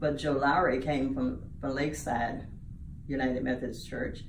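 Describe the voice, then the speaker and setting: The speech moves at a moderate pace with ordinary pitch variation. Room echo is audible. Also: woman. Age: 80s+. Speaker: church lay leader. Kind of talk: interview.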